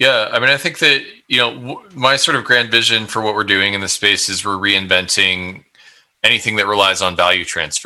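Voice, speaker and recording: A man talks at a fairly quick pace with a fairly low pitch. He has an ordinary speaking voice with ordinary pitch variation. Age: 30s. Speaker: tech startup founder. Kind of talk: casual interview.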